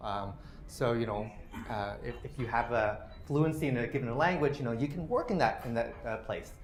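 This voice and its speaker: A man with a Canadian accent speaks at a fairly quick clip in a medium pitch, his voice somewhat breathy with ordinary pitch variation and audible room echo around it. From Canada. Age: 40s. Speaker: policy researcher. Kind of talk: lecture. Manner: many fillers (uh, you know).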